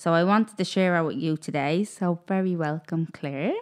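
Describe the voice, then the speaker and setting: In an Irish accent, a woman speaks at a fairly low pitch against a quiet background. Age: 20s. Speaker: podcast host. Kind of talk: casual interview chat.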